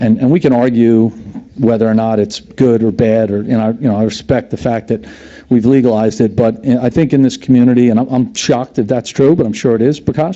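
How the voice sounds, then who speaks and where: At a fairly quick pace, a man of medium pitch talks with very even loudness and fairly even intonation over noticeable background noise. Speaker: resident speaking at public comment. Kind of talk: public comment at town meeting. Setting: town committee meeting. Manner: fast; halting, many repetitions.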